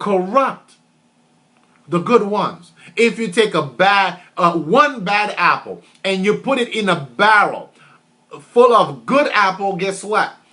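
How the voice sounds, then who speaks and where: A raised, projected male voice, high in pitch, bright and sharp in tone, with lively intonation at a very slow pace. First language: French. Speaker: motivational speaker. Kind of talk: motivational talk. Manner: repetitive, emphatic.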